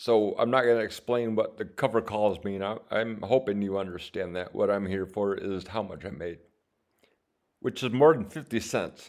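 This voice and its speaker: Mumbling at a moderate pace, a man with a fairly low pitch uses ordinary pitch variation. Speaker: options trading vlogger. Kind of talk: screen-share tutorial. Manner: halting.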